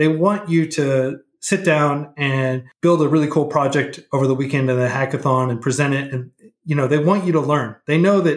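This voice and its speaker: A man's unremarkable speaking voice, fairly high in pitch, with fairly even intonation. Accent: American. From Oklahoma and Texas, US. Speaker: nonprofit founder, coding educator. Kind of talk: casual interview.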